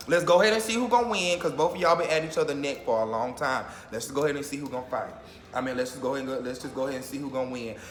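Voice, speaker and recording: Amid noticeable background noise and audible room echo, a man talks at a very fast pace with lively intonation. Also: fairly high pitch for a man. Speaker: YouTuber reacting to reality TV. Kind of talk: casual vlog commentary.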